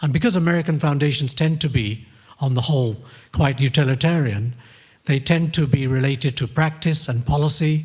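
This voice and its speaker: Somewhat breathy and fairly high-pitched, a man speaks at a fairly quick pace with ordinary pitch variation. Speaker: academic panelist. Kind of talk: conference presentation.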